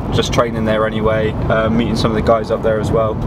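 Through loud background noise, a man speaks at a very fast pace. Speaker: powerlifting vlogger. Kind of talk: casual vlog chat. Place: car. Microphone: phone near.

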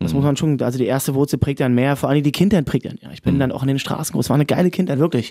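Against a quiet background, a man talks at a very fast pace in a dark, mellow tone. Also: ordinary pitch variation. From Brandenburg, Cottbus; Brandenburg. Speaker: pop singer. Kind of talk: casual chat. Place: studio.

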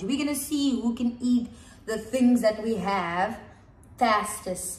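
Heard with audible room echo, a woman speaks very slowly in an upbeat tone, her fairly high pitch showing ordinary variation. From South Africa, Cape Town. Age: 20s. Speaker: dance and drama instructor. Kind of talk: casual talk to camera. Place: home room. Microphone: camera far.

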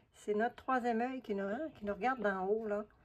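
Pitched fairly high, a woman talks with normal pitch movement. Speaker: collage artist YouTuber. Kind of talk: casual vlog. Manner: animated.

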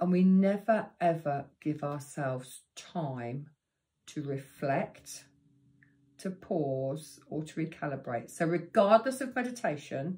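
A woman's dark, mellow and somewhat breathy voice at a very slow pace, with very wide pitch swings. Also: fairly low pitch for a woman. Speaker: meditation teacher. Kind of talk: tutorial.

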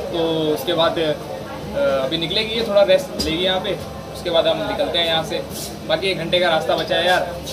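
Moderately paced male speech under noticeable background noise. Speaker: travel vlogger. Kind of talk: casual vlog chat. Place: train. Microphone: phone near.

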